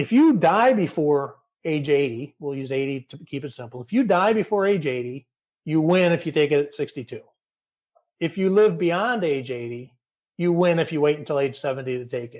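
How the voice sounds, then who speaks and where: A man with an American accent and a plain, everyday voice speaks at a moderate pace and fairly high pitch. His loudness swings widely. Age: 50s. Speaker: retirement blogger. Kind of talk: podcast interview.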